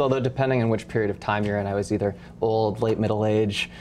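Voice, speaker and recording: Male speech at a medium pitch, delivered in a monotone, flat intonation. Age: 30s. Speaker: cannabis company executive. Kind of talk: interview.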